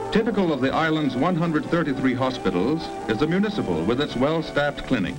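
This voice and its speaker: Over music in the background, a man with an American accent talks at a fairly quick pace in a fairly high pitch with very wide pitch swings. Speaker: newsreel narrator. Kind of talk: 1950s newsreel voiceover, promotional documentary narration. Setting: vintage film soundtrack, studio recorded. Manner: brisk, declamatory, formal.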